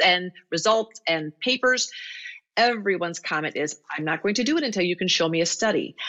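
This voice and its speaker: With a Midwestern US accent, a woman speaks at a fairly quick pace in a fairly low pitch, her pitch varying in an ordinary way. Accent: General American, Midwestern. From US Midwest (Iowa). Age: 50s. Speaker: veterinarian. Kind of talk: interview conversation.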